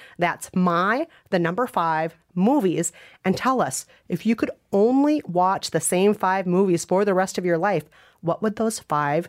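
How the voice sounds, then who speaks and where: On a very clean recording with a silent background, a woman with an unremarkable speaking voice talks at a fairly slow pace, medium pitch and lively intonation. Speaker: podcast co-host and author. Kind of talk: casual interview chat.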